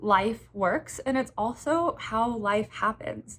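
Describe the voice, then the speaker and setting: A woman speaks very slowly, fairly high in pitch and somewhat breathy. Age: 20s. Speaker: menstrual health educator. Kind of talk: educational talk to camera. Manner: casual, with fillers.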